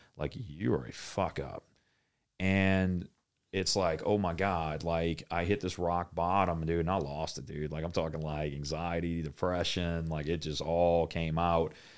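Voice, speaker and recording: A man speaks at a fairly slow pace with a very deep, low pitch. His intonation is fairly even, and the recording is very clean with a silent background. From New Orleans, Louisiana. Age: 30s. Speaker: refinery operator and gym owner. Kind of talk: casual chat.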